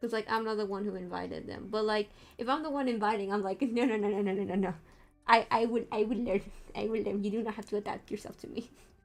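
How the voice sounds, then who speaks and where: A woman with a Spanish accent talks very fast at a fairly high pitch, her intonation fairly even and her voice showing vocal fry. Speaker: streamer, VTuber artist. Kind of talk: casual chat. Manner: hesitant, many fillers.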